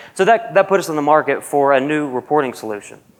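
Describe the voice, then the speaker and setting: Fairly quick, lively intonation from a man with a Southern US accent. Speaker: university programmer analyst. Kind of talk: conference presentation. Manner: casual, with frequent fillers.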